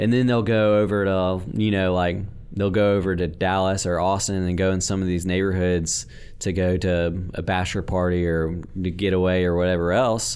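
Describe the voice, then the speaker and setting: Speech comes at a moderate pace in an American accent, with very even loudness. Room echo is audible. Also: man, very deep, low pitch for a man. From northwest Louisiana (Bossier). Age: 20s. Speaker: house flipper. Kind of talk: casual interview. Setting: studio. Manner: energetic.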